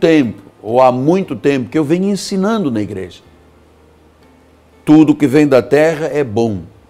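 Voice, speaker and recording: Music plays in the background as a man with a fairly high pitch talks with very wide pitch swings and long, frequent pauses. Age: 60s. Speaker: pastor. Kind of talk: sermon. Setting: studio.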